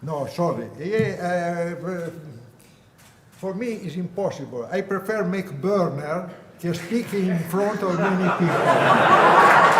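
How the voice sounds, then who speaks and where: Speaking at a very slow pace, a man uses a high pitch and fairly even intonation. There is noticeable background noise and audible room echo. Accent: Italian. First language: Italian. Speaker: balloon burner maker. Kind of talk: acceptance speech. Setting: stage with audience. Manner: halting.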